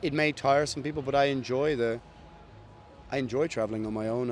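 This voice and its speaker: A man in a Dublin accent at medium pitch, a moderate pace, and fairly even intonation. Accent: Irish (Dublin). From Ireland, Dublin. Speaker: metal band musician. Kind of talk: casual interview. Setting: backstage at a festival.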